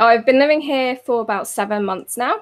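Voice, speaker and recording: Ordinary pitch variation from a woman with a British accent. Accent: very British. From England. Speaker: designer and author. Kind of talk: casual interview chat.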